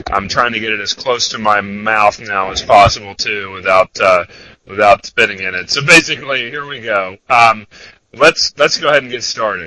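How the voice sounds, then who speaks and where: At a moderate pace and medium pitch, a man speaks with ordinary pitch variation and big swings in loudness, the sound dry and close with no echo. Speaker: trader presenting a trading webinar. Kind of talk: webinar presentation.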